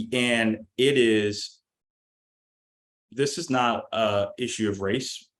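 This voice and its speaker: A man with an American accent speaks at a medium pitch in an ordinary speaking voice, captured in a very clean recording with a silent background. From Deep South, USA. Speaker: Marine veteran and political operative. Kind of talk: podcast interview answer.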